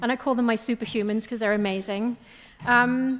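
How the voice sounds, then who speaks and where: Speaking at a fairly quick pace, a woman uses a fairly high voice with monotone, flat intonation. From international upbringing, partly British island. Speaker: business owner, investment firm CEO. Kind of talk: panel discussion.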